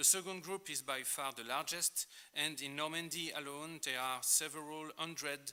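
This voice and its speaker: A man talks with a French accent in a bright, sharp tone. His intonation stays fairly even. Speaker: art historian. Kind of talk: lecture. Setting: conference.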